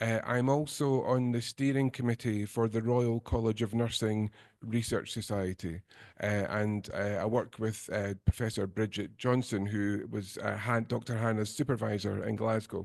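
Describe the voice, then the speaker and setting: Against a quiet background, a man with a Scottish accent talks at a moderate pace and a medium pitch with fairly even intonation. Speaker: nursing lecturer. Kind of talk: lecture.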